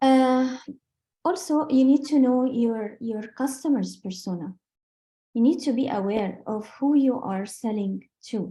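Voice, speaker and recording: With a non-native accent, this voice has a dark, mellow tone, a somewhat breathy quality and lively intonation. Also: woman. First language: not English. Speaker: sales trainer. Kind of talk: business training talk. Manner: halting.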